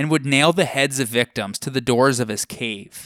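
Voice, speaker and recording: A man with a normal speaking voice at medium pitch talks at a moderate pace in a very clean, dry, close recording with no echo and a silent background. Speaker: podcast host. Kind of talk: mythic narration, scripted storytelling. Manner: measured, even-paced, narrative storyteller; clear and formal, lecture-like.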